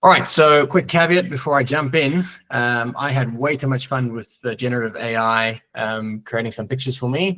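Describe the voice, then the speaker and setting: A man with a South African accent talks at a moderate pace with hardly any pauses. His medium-pitched voice has a bright, sharp tone. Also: ordinary pitch variation. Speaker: software tech lead. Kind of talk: conference presentation. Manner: hesitant, many fillers.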